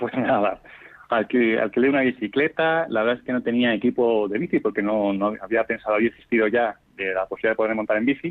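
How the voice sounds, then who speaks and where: Speaking very fast, a man keeps a medium pitch with ordinary pitch variation. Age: 40s. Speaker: amateur cyclist. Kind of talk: interview. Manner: halting.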